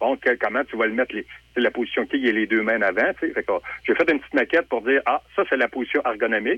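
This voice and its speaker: The speaker has a Quebec accent. The pace is very fast. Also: man. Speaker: sculptor. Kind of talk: interview.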